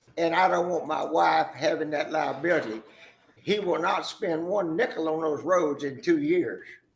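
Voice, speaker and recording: A man speaks at a moderate pace with an American accent, and the room echo is audible. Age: 80s+. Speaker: developer addressing county court. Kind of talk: public meeting statement. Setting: county commissioners court meeting.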